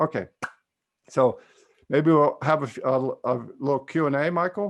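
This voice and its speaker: Delivered at a moderate pace with ordinary pitch variation, this is a plain, everyday voice with an American accent. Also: man, fairly high pitch for a man. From California. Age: 60s. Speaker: psychotherapist and trance teacher. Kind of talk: webinar lecture and Q&A. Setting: video call.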